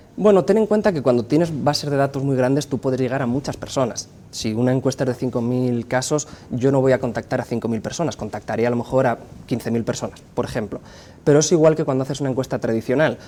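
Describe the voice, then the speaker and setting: This man speaks very fast with a Spanish accent, at a medium pitch. His tone is dark and mellow, with ordinary pitch variation. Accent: Spanish (Spain). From Spain. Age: 30s. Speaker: pollster and university professor. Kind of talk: interview.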